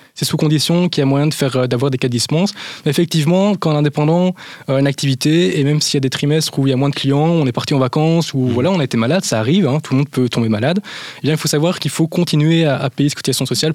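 A man talks at a very fast pace in a fairly high voice. His pitch varies in an ordinary way. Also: very even loudness. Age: 20s. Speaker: business advisor. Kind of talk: interview answers. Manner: halting.

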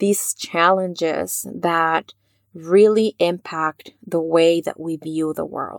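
The speaker has a Spanish accent and fairly even intonation. The pace is very slow. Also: woman. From Mexico. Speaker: psychotherapist and podcast host. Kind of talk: faith-based podcast monologue.

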